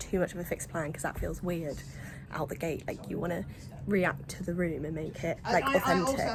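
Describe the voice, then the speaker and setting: Noticeable background noise accompanies a woman speaking at a fairly quick pace in an English accent. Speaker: comedian and vlogger. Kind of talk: casual vlog. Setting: cruise ship. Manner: animated.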